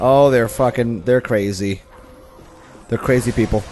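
A man with a medium-pitched voice speaks with fairly even intonation. Noticeable background noise is present. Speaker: gaming YouTuber. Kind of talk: let's play commentary. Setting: home recording while gaming. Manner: casual, filler-heavy with frequent swearing.

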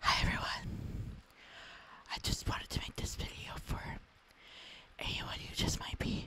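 Someone whispers, leaving long, frequent pauses. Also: fairly slow pace. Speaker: content creator. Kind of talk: ASMR encouragement talk. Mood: gentle, comforting. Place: home room. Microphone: handheld.

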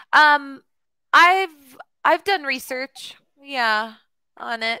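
A woman speaks in a raised, projected voice with a bright, sharp tone. Her pitch swings very widely. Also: very clean recording, silent background. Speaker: online English tutor. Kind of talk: casual conversation lesson. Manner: hesitant, many fillers.

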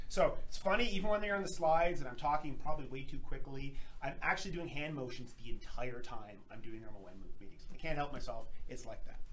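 A man talks at a very fast pace with a fairly high pitch and very wide pitch swings. Light background noise can be heard. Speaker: lab company presenter. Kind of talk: webinar presentation. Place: workshop. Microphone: camera far.

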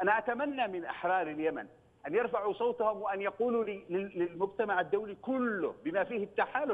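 Talking fairly slowly, the man uses a high pitch. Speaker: member of parliament. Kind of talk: TV political discussion. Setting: phone call.

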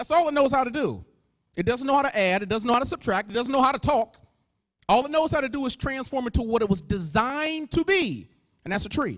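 Speaking at a very fast pace, a man with an extremely high pitch uses lively intonation and an animated tone over a quiet background. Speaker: motivational speaker. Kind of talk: motivational keynote speech. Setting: stage with audience. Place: hall. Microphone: handheld.

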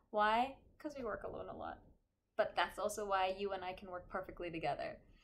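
A woman talks at a very fast pace in an upbeat tone. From North America. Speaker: voice actor. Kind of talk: casual talk to camera. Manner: upbeat, friendly. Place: home room.

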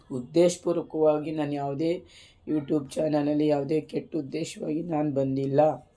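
Fairly even intonation carries a woman's very deep, low-pitched voice with a dark, mellow tone. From rural Karnataka. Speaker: YouTuber. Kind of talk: personal testimony. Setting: home.

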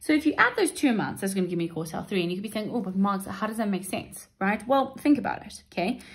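Talking very fast with hardly any pauses, a woman at medium pitch sounds somewhat breathy and uses lively intonation. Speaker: maths literacy teacher. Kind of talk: tutorial. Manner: explanatory, steady.

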